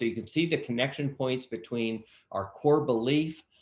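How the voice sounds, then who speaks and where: A man speaks at a moderate pace in an ordinary speaking voice, his intonation fairly even. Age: 60s. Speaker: nonprofit executive. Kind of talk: Q&A in online workshop.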